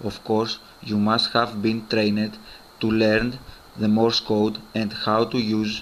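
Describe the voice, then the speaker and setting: At a fairly slow pace, a man talks in a fairly low pitch. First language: Greek. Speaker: survival and outdoor gear YouTuber. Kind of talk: tutorial.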